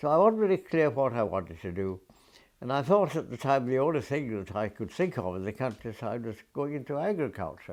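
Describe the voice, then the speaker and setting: A man speaks at medium pitch and a fairly quick pace in a Glaswegian accent. His pitch swings very widely against a quiet background. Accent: Glaswegian Scottish. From Scotland, Glasgow. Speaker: retired forester, war veteran. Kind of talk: oral history interview. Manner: halting, with repetitions.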